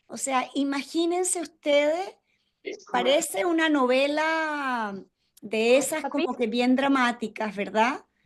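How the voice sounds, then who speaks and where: At a very slow pace, a woman speaks in a high pitch with lively intonation. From Venezuela. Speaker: ontological coach and webinar facilitator. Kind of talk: interactive webinar talk. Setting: video call webinar. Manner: warm, conversational.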